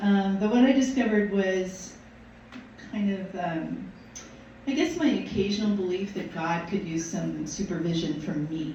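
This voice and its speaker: Over noticeable background noise and audible room echo, a woman talks at a moderate pace in a medium pitch with ordinary pitch variation. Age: 60s. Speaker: minister. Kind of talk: sermon. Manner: halting.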